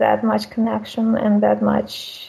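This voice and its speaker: Noticeable background noise accompanies a woman with a Russian accent who speaks at a fairly slow pace. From Russia, small town. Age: 30s. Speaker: caller. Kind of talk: call-in conversation about marriage.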